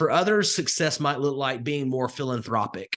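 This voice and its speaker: Over a quiet background, a man with a Southern Alabama accent talks at medium pitch. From US South, rural northwest Alabama. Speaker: crypto investing coach. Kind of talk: live webinar presentation. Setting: live online call with chat. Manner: conversational with frequent fillers.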